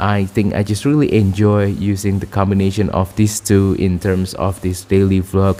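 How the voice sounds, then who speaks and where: With music in the background, a man talks at a moderate pace in a fairly low pitch. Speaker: vlogger. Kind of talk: casual talk to camera. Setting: at home. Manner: halting, many fillers.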